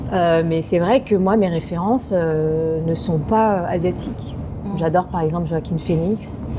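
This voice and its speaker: This woman talks fairly slowly. Noticeable noise is audible behind her. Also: fairly low pitch for a woman, fairly even intonation. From France, Paris suburbs. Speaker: actress. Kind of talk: casual interview. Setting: restaurant.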